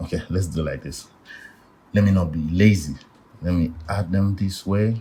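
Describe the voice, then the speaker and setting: Somewhat breathy and dark, mellow in tone, a man speaks at a very deep, low pitch with fairly even intonation and a moderate pace. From Nigeria. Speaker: art tutor. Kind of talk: tutorial.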